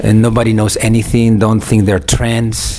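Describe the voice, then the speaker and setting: A man speaks at a medium pitch. Background noise is noticeable. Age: 60s. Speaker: film director. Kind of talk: interview. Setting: film festival.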